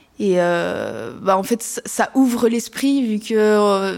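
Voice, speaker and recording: This woman's voice sits at a fairly high pitch. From France, partly raised in French Polynesia. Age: 18. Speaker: biology student and young activist. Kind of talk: interview testimony.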